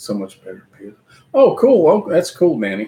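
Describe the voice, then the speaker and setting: A man with a Kentucky accent speaks at a moderate pace. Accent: Kentucky Southern US. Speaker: livestream host chatting with his mother. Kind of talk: casual live stream chat.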